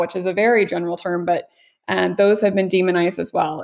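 A woman with an American accent speaks in an ordinary speaking voice at medium pitch with fairly even intonation. The recording is very clean, with a silent background. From Missouri, US Midwest. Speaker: dietitian. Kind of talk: interview.

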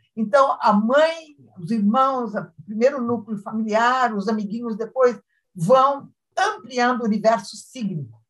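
A woman with a southern Brazilian accent, fairly high in pitch, at a fairly slow pace with ordinary pitch variation. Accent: southern Brazilian (gaúcho) Portuguese. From Rio Grande do Sul, Brazil. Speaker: semiotics professor. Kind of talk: casual interview.

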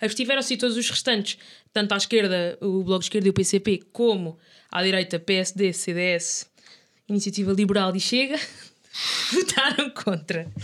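At a moderate pace with long, frequent pauses, a woman speaks at a medium pitch with ordinary pitch variation. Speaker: podcast co-host. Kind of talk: casual chat.

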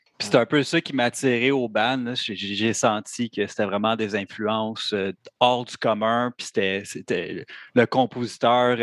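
A man at medium pitch speaks at a very slow pace with fairly even intonation. The sound is dry and close with no echo, in a very clean recording with a silent background. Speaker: metal band musician. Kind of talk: casual chat.

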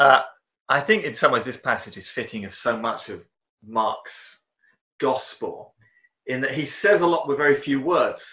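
In a southern English accent, a bright, sharp voice at a moderate pace shows lively intonation, big swings in loudness and long, frequent pauses. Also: man. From southern England, Romsey near Southampton. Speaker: church member discussing scripture. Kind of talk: casual chat.

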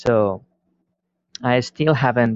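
The pace is very slow. A man delivers it in a Spanish accent. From Spain. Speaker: listener sending a question. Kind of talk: recorded voice message. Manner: halting with many fillers.

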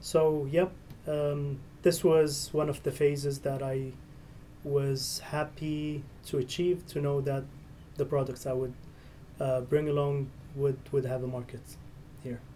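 Speaking with a non-native accent at a fairly slow pace with long, frequent pauses, a man has a fairly high pitch, a somewhat breathy, dark, mellow tone, and monotone, flat intonation. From Syria. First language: Arabic. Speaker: entrepreneur. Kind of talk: interview. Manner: halting.

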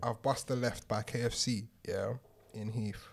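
A man speaks with a London accent. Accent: London multicultural English. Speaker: podcast co-host. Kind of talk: casual chat.

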